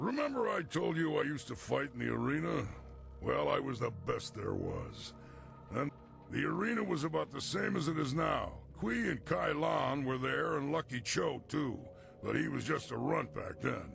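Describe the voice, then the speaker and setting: A man puts on a character voice. Behind him, clear music can be heard. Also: moderate pace. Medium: video game. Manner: gruff, blunt.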